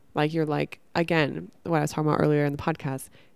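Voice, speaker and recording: A woman speaks in an American accent with fairly even intonation. The recording is very clean, with a silent background. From Northern California. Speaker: podcast host. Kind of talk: casual monologue. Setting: at home.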